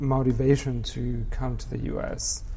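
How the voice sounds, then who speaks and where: Room echo is audible, along with noticeable background noise. A man speaks at a very slow pace. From Mexico. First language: Spanish. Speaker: artist. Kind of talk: interview conversation. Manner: hesitant, many fillers.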